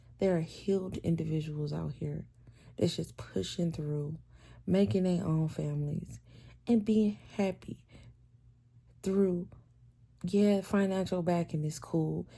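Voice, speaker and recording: A woman with a very deep, low pitch speaks in a calm, dark, mellow, somewhat breathy tone at a moderate pace, with ordinary pitch variation and long, frequent pauses, on a very clean recording with a silent background. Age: 30s. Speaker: vlogger. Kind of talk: casual monologue.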